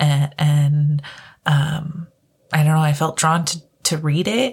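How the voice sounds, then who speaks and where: The voice is somewhat breathy and the pace is very slow. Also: woman. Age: 20s. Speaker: podcast host. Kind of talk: solo podcast monologue.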